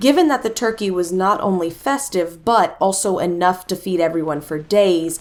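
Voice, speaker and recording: With an American accent, a woman speaks in an ordinary speaking voice. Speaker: voice actor. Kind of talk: horror story narration.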